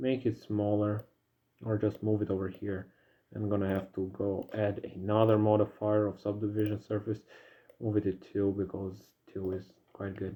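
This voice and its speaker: A man with a non-native accent speaks at a moderate pace in a monotone, flat intonation. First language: not English. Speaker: 3D modeling hobbyist. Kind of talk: tutorial. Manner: casual, hesitant with fillers.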